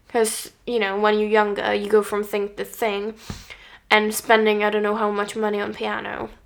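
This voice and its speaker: Noticeable background noise accompanies a woman talking at medium pitch and a moderate pace in a monotone, flat intonation. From Czech Republic. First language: Czech. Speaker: podcast co-host, learning musician. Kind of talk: casual chat. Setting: on a sofa at home.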